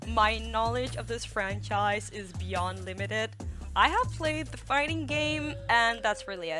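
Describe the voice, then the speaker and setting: A woman at a fairly slow pace with big swings in loudness over music in the background. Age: 20s. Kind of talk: casual scripted video narration. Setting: home recording, uneven audio quality.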